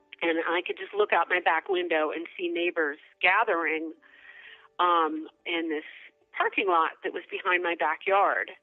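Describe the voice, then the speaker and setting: Music plays in the background as a woman talks at a moderate pace. Her pitch is fairly low and her intonation fairly even. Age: under 40. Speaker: former Baltimore resident interviewed. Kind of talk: personal testimony.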